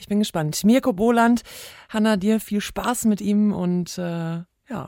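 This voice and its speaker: In a very clean recording with a silent background, a woman's dark, mellow tone shows ordinary pitch variation and big swings in loudness. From Ruhr area, Germany. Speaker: sports podcast co-host. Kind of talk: casual chat.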